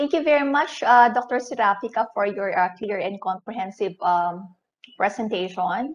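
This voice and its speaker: Speaking with a Filipino accent, a woman uses a fairly high pitch, a moderate pace and lively intonation. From Philippines. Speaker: webinar moderator. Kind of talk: formal moderation. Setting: video call. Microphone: earbuds.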